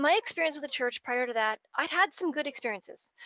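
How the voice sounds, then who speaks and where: A woman's bright, sharp tone comes through in a dry, close sound with no echo. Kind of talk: personal testimony talk. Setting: video call. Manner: fast.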